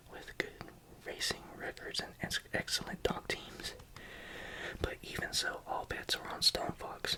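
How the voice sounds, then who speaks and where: Whispering at a fairly slow pace, the speaker leaves long, frequent pauses over noticeable background noise. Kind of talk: whispered ASMR book reading. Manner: whispered, soft, calming.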